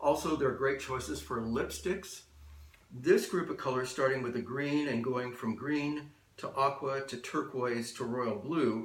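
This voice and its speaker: Over noticeable background noise and audible room echo, a man at medium pitch talks at a fairly slow pace with ordinary pitch variation. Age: 60s. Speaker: color and style consultant. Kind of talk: explainer monologue to camera. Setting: office. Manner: measured, with frequent uh and um fillers.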